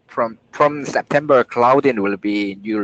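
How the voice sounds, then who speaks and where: Speaking at a very slow pace with a non-native accent and ordinary pitch variation, a man is heard in a dry, close sound with no echo. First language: not English. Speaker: software developer, team lead. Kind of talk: work meeting. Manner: halting, searching for words.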